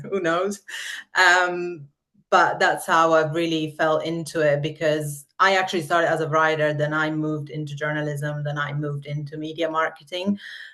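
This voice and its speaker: In an Italian accent, a woman with a very deep, low pitch and a bright, sharp tone speaks at a moderate pace in a monotone, flat way, over a quiet background. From Italy. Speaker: marketer. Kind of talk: podcast interview.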